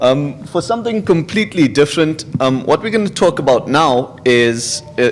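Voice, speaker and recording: A man's speech proceeds at a moderate pace. Behind it there is noticeable background noise. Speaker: security researcher. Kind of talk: conference talk. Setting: stage with audience.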